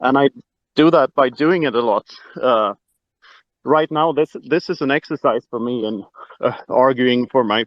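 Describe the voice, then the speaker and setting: Fairly slow pace with long, frequent pauses. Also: man. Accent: Swedish. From Sweden. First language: Swedish. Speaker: Bitcoin author. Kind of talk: casual chat. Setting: online audio room. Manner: hesitant, many filler words.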